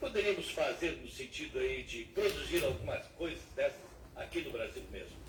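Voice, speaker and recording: Audible room echo and noticeable background noise surround a man whose voice takes big swings in loudness. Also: moderate pace. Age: 70s. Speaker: radio journalist. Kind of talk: radio interview questions.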